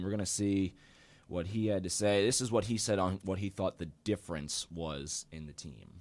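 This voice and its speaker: An ordinary speaking voice: a man with an American accent, fairly low pitch, moderate pace, and a very clean recording over a silent background. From Charlotte, North Carolina. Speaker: student sports podcast host. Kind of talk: casual sports talk. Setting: student internet radio stream.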